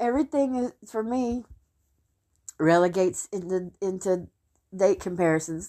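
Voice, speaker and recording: A woman at medium pitch with lively intonation, in a very clean recording over a silent background. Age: 50s. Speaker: podcaster in recovery. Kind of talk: personal testimony. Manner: halting.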